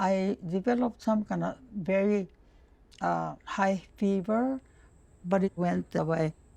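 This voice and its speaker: In a Japanese accent, a woman speaks at a fairly slow pace with medium pitch and ordinary pitch variation. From Japan, Hiroshima. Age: 90s. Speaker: war survivor. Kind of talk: testimony. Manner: halting.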